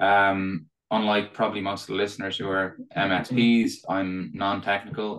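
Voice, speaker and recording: With an Irish accent and a fairly low, bright, sharp voice, a man speaks at a moderate pace in a monotone, flat intonation against a quiet background. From Ireland. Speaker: tech company executive guest. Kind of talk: casual interview chat.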